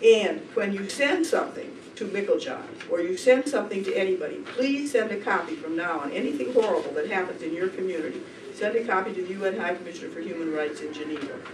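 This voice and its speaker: The speech runs at a very fast pace with hardly any pauses, against noticeable background noise. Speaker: human rights lawyer. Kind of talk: conference workshop talk. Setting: conference room with audience.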